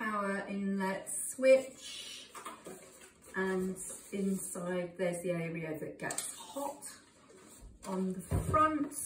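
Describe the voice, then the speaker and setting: With long, frequent pauses, a woman speaks at a very slow pace amid audible room echo and light background noise. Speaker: home cook reviewing a product. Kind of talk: casual product demo chat. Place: kitchen. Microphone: phone near.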